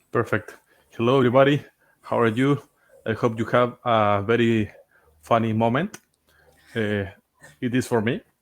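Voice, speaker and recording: A man with a Spanish accent speaks at a moderate pace in a medium pitch, with ordinary pitch variation. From Chile. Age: 30s. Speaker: game streamer co-host. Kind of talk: casual live stream chat.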